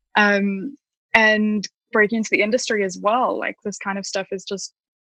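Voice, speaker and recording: A woman talks at a medium pitch and moderate pace in a bright, sharp tone with flat, monotone intonation, the sound dry and close with no echo. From South Africa, Pretoria. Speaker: product manager. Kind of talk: interview. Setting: podcast.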